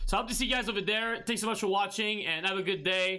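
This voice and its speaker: A man with a non-native accent speaks at a very fast pace in a high, bright, sharp voice. His voice is raised and projected, with fairly even intonation. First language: not English. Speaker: gaming streamer; gamer, streamer. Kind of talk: tutorial. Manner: halting, many fillers and restarts. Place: home room.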